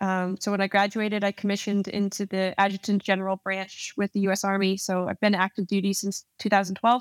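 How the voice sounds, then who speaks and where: Very fast, monotone speech from a woman at medium pitch with an American accent, dry and close with no echo, on a very clean recording with a silent background. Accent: slight, mostly muted in podcast. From New Jersey, US. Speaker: Army officer, Ranger. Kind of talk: casual interview.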